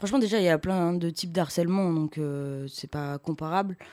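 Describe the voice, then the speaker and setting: A woman speaks with a very deep, low pitch on a very clean recording with a silent background. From Clermont-Ferrand, France. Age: 20s. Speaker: musician. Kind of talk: interview.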